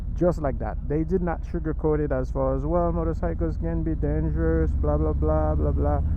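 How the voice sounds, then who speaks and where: With hardly any pauses, a man with a Haitian accent speaks at a very deep, low pitch amid noticeable background noise and audible room echo. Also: ordinary pitch variation, moderate pace. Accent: foreign accent (Haitian). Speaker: motovlogger. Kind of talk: casual vlog monologue. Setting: riding a motorcycle outdoors in traffic.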